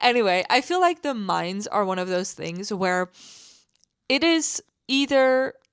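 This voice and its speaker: A woman speaks with a non-native accent on a very clean recording with a silent background. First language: not English. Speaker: gaming content creator. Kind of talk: casual voice-over commentary. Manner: hesitant, many fillers.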